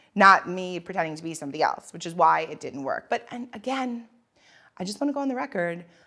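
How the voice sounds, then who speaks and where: An animated, bright, sharp voice at a very fast pace, with very wide pitch swings and big swings in loudness. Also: woman, medium pitch for a woman, very clean recording, silent background. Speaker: fashion podcast co-host. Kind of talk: casual chat.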